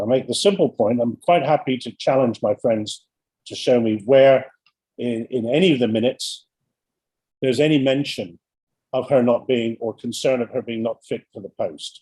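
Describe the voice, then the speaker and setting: A man speaks with a dark, mellow tone at a medium pitch and ordinary pitch variation. The sound is dry and close, with no echo. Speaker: barrister. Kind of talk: courtroom submission. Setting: video call. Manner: fast.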